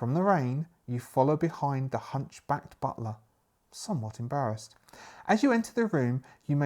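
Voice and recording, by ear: The intonation is lively as a speaker reads aloud in a natural voice over a quiet background.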